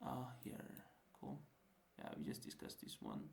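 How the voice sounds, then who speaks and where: A man talks with a non-native accent. There is audible room echo around his voice. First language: not English. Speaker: student tutor. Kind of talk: lecture. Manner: halting; casual.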